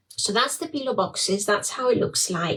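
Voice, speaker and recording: A woman's fairly high voice with lively intonation and a Greek accent. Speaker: small business owner, crafter. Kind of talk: product showcase livestream. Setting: facebook live. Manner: hesitant, many fillers.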